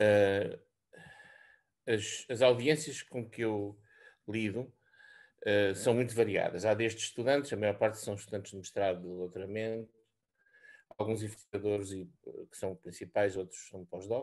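A man speaks fairly slowly at a fairly low pitch, with fairly even intonation and long, frequent pauses. The background is quiet. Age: 60s. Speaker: senior research scientist. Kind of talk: presentation. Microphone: video call.

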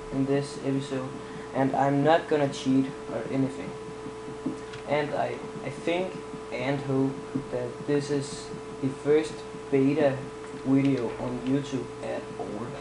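A fairly high-pitched man in a Danish accent, monotone and flat, at a fairly slow pace with long, frequent pauses and noticeable background noise. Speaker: gaming YouTuber. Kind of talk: casual gameplay commentary. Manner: halting, filler-heavy.

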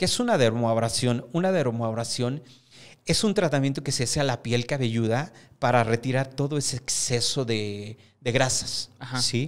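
A man talks at a moderate pace, his pitch varying in an ordinary way, with the background quiet. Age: 50s. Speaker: hair stylist and salon owner; guest. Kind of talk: interview. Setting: studio. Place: studio. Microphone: studio mic.

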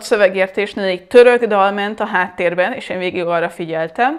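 The pace is moderate, with ordinary pitch variation. The background is quiet. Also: woman. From Hungary. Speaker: language teacher; language teacher, vlogger. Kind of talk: tutorial. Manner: hesitant, many fillers. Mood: reflective, anecdotal. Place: home room.

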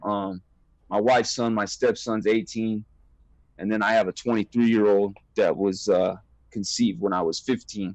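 In an American accent, the speaker goes at a moderate pace with long, frequent pauses, the sound dry with no echo against a quiet background. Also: man, fairly low pitch for a man, fairly even intonation. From Southern California. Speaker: former prisoner. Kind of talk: interview. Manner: halting. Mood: candid, serious. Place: home room. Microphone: earbuds.

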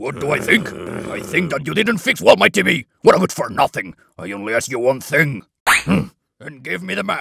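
A man performs a cartoonish character voice at a medium pitch. His pitch swings very widely at a moderate pace. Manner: impatient, bossy.

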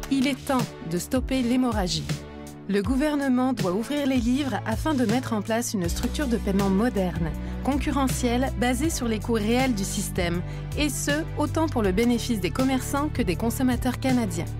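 The voice moves at a moderate pace with very even loudness. The sound is dry with no echo, and music plays clearly in the background. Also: woman. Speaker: voice actor; advertising voice-over narrator. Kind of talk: corporate narration, explainer voice-over for an advocacy ad. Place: booth. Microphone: studio mic.

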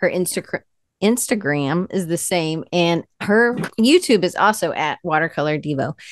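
A woman with an American accent talks at a moderate pace, her fairly low pitch showing ordinary variation, in a dry sound with no echo over a quiet background. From US South, Atlanta; US South. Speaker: podcast host; interview host. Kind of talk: interview. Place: home room. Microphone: earbuds.

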